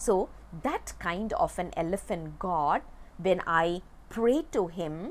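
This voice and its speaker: A woman's voice, medium in pitch, moves at a very slow pace. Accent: Tamil. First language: Tamil. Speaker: religious text teacher. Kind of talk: lecture. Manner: halting, with fillers.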